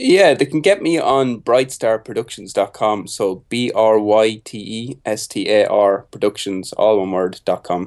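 The speech comes in an Irish accent at a fairly slow pace, with hardly any pauses. Pitch varies in an ordinary way over a quiet background. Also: man, medium pitch for a man. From Ireland (Carlow). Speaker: music producer. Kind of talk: casual interview.

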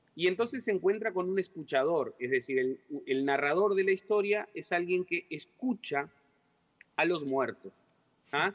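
Music plays behind a man who speaks fairly slowly in a high voice with lively intonation. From Uruguay, Artigas (Brazilian border). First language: Portuñol (speaking Spanish). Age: 40s. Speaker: writer and secondary school teacher. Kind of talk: interview.

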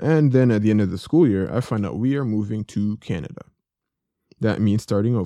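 A man talks at a moderate pace with lively intonation. His voice is fairly low, with a dark, mellow tone. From Jamaica. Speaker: solo podcast host. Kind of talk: casual monologue. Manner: conversational, relaxed.

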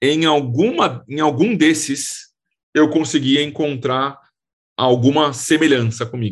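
Here a man speaks in an unremarkable speaking voice. His pitch is fairly high, with ordinary pitch variation. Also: fairly slow pace. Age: 30s. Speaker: real estate investment fund specialist. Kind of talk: interview.

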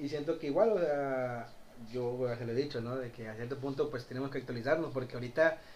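A medium-pitched man at a very fast pace, with audible room echo. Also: ordinary pitch variation. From Mexico, Cárdenas. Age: 20s. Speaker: shop vendor. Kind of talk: casual chat.

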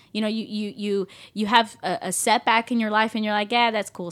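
A woman with a plain, everyday voice and a fairly high pitch talks at a fairly quick pace in a very clean recording with a silent background. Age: 30s. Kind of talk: casual faith discussion.

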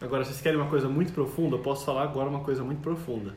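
Over noticeable background noise and audible room echo, a man talks at a very fast pace, his fairly high pitch held to fairly even intonation. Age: 20s. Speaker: software developer. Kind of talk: casual chat.

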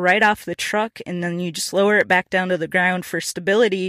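A woman with an American accent, bright and sharp in tone, with fairly even intonation, on a very clean recording with a silent background and a dry, close sound with no echo. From Minnesota. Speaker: podcast host. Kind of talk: solo podcast monologue. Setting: in a truck.

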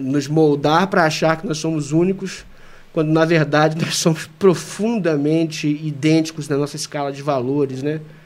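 Speaking in an unremarkable speaking voice, a man with a fairly high pitch keeps a moderate pace and fairly even intonation. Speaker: university professor and criminal lawyer. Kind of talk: casual chat.

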